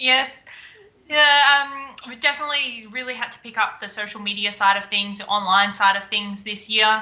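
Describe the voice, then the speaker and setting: A woman's bright, sharp voice with an Australian accent, fairly high in pitch, with ordinary pitch variation at a moderate pace. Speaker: beekeeper and honey business owner. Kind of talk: live-streamed interview.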